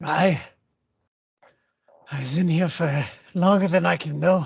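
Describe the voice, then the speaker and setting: A raspy put-on character voice at a middle pitch moves at a moderate pace. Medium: actual play. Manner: somber, slightly archaic phrasing.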